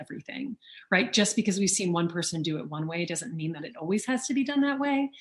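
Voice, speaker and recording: A woman speaks very fast with an American accent and lively intonation. Her voice is somewhat breathy. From US South, Louisiana. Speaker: auctioneer and author. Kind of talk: interview. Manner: fluent.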